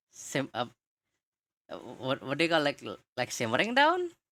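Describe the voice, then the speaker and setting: A woman with a non-native accent speaks at a moderate pace in a very clean recording with a silent background. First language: not English. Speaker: streamer and podcast host. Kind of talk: casual chat. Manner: halting.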